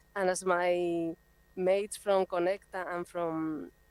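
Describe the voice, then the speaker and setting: At medium pitch, a woman speaks in a monotone, flat intonation with a dry, close sound and no echo. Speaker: NGO project coordinator. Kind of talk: presentation. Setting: video call. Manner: halting.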